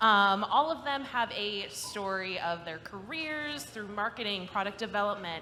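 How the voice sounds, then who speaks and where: A woman with an ordinary speaking voice and medium pitch talks at a fairly slow pace with lively intonation and hardly any pauses. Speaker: panel moderator. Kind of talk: panel discussion moderation. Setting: live event with audience.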